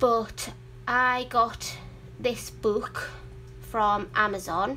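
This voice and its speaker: A woman speaks at a very slow pace with a Geordie accent. Audible room echo surrounds her voice. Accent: Geordie; sometimes mistaken for Welsh. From northern England, Newcastle upon Tyne. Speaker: adult colouring hobbyist YouTuber. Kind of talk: casual livestream chat. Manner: chatty, rambling with fillers.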